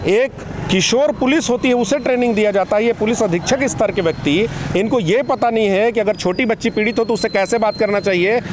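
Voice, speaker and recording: A man's high-pitched voice at a moderate pace, with ordinary pitch variation, very even loudness and noticeable background noise. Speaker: assistant professor and social activist. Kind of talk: interview. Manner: animated.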